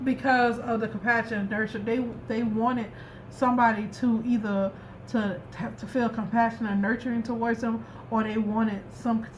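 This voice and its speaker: A woman with a fairly high pitch speaks in a monotone, flat intonation against noticeable background noise. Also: moderate pace. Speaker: tarot reader. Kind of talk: tarot reading. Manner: stuttering, repetitive.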